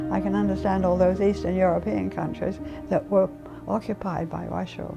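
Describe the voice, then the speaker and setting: Over music in the background, the speech moves at a fairly quick pace. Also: woman. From England. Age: 80s+. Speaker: war bride, WWII home-front witness. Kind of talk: interview testimony. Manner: halting, with frequent fillers.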